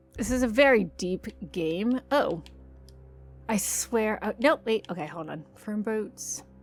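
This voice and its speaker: A woman speaks very slowly at a fairly high pitch with lively intonation. Music plays in the background. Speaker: gaming youtuber. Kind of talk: let's play commentary. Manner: animated; varying loudness.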